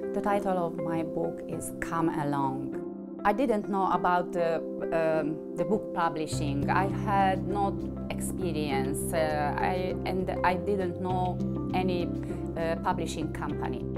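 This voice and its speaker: A woman with a non-native accent speaks at a very slow pace over loud background music. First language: not English. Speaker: author. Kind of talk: interview answer. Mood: warm, proud. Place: home room.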